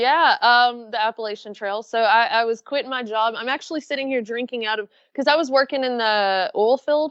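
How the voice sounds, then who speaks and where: A woman with a strong Southern US accent speaks high and at a fairly quick pace. She barely pauses, and her pitch varies in an ordinary way. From Florida and Alabama. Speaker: backpacker and YouTuber. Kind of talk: interview. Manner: easy-going.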